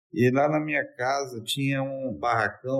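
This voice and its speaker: With a plain, everyday voice, a man speaks at a fairly slow pace. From Brazil, Espírito Santo (Vila Velha). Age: 50s. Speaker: university professor. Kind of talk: interview.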